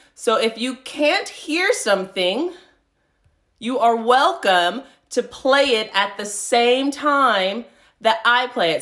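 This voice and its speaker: A woman's bright, sharp, fairly high voice with very wide pitch swings. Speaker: yoga instructor. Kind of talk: live-streamed yoga class instruction. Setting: live online stream from home.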